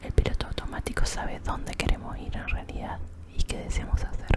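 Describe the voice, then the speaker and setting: Someone whispers at a fairly quick pace over noticeable background noise. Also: woman. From Argentina. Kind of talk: ASMR reading. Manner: whispered.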